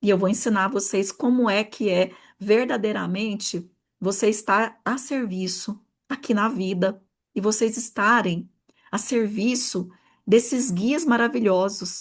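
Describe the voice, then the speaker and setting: A woman speaks at a fairly slow pace in an animated tone, her voice fairly high and somewhat breathy. Her pitch varies in an ordinary way, and the background is quiet. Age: 40s. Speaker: therapist and mentor. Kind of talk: online workshop talk.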